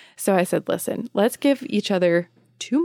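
Lively intonation carries a woman's plain, everyday voice at medium pitch. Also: dry, close sound with no echo. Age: 30s. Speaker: podcast co-host, midwife. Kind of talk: casual chat.

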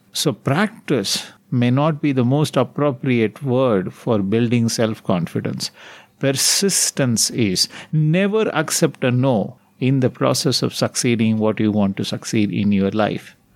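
In an Indian accent, a man with a medium pitch speaks fairly slowly, his intonation lively and his loudness very even. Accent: Indian English (Tamil). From Tamil Nadu, India. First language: Tamil. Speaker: meditation teacher / spiritual guru. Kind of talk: guided talk / evening meditation session.

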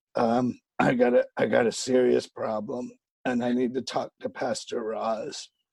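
A man's put-on character voice, gravelly and raspy, at medium pitch and a fairly slow pace. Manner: urgent, serious.

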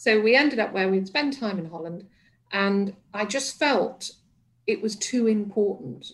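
A woman talks at a fairly slow pace with a medium pitch and a somewhat breathy sound. Her intonation is lively. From northern England, Liverpool and Manchester area. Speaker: resilience coach and former hospice chief executive. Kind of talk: radio interview.

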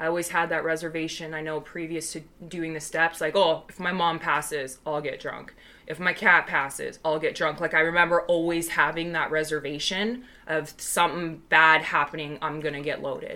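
A woman with an American accent speaks at a moderate pace in a fairly low pitch, her intonation monotone and flat. Her loudness swings widely over noticeable background noise. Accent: Canadian, may drift American. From Vancouver, Canada. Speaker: recovering alcoholic, AA member. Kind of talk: personal testimony in casual chat.

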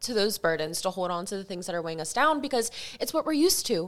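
A woman with an American accent speaks at a medium pitch, with very wide pitch swings. Music plays in the background. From Delaware, US. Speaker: esthetician and lash artist, podcast co-host. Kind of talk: casual chat.

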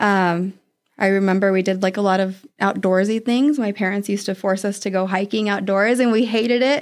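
With a normal speaking voice and an American accent, a woman talks at a fairly quick pace, her loudness very even and her intonation fairly even, on a very clean recording with a silent background. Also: medium pitch for a woman. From Arizona, with childhood in Oregon (ages 5-15). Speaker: HR specialist. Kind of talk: interview.

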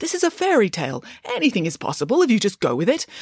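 A woman's put-on character voice, medium in pitch, fast, with very wide pitch swings, a slightly mellow tone and a slightly husky edge, in a dry, close sound with no echo

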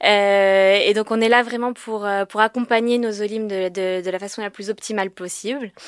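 An ordinary speaking voice with fairly even intonation at a fairly slow pace, on a very clean recording with a silent background. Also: woman. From France, Paris. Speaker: government agency regional manager. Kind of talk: informational interview.

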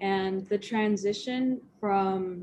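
Over noticeable background noise, a woman talks in an American accent. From Las Vegas, US. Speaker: college student. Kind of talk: casual chat.

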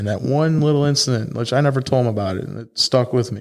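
In a very clean recording with a silent background, a man with a Chicago accent talks at a fairly quick pace with ordinary pitch variation. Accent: Chicago American English. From Chicago suburbs, US Midwest. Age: 20s. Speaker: car club founder. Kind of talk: casual chat.

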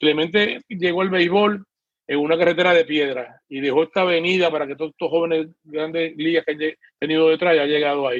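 In a normal speaking voice, a man talks at a fairly high pitch and a fairly quick pace, keeping his intonation fairly even. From Puerto Rico. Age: 60s. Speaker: retired PE teacher and swim coach. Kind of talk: political panel discussion. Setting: video call.

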